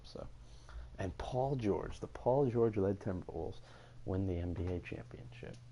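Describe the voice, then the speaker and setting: A soft-spoken man at a moderate pace. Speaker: gaming YouTuber. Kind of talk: video game commentary. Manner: halting.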